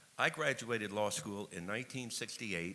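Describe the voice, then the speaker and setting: Fairly low in pitch with ordinary variation, a man speaks at a fairly quick pace in a bright, sharp tone with an American accent. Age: 70s. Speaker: attorney and activist speaker. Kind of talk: conference speech.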